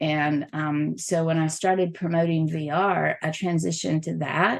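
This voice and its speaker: Speaking with a Southern US accent, a woman keeps a fairly low pitch, moderate pace and fairly even intonation. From US South. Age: middle-aged. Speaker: XR event programmer and journalist. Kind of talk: podcast interview.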